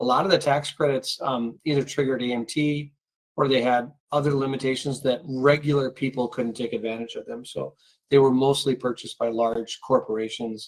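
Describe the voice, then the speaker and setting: The intonation is monotone and flat. The pace runs fairly quick. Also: man, medium pitch for a man. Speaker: tax attorney, webinar host. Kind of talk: webinar presentation. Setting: online webinar. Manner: fast.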